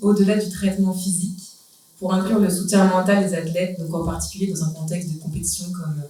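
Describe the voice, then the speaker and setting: With a French accent, a woman speaks very fast at a medium pitch and fairly even intonation. Audible room echo and noticeable background noise fill the recording. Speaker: physiotherapist. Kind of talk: panel discussion.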